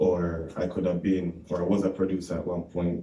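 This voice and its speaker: A man with a Jamaican accent speaks in a very deep, low pitch and a dark, mellow tone, with audible room echo around him. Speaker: reggae artist. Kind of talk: radio interview. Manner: casual, animated.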